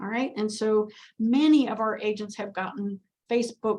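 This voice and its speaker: At a moderate pace, a woman talks in a somewhat breathy voice, fairly high in pitch, with fairly even intonation. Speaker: real estate office manager. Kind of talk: office meeting presentation.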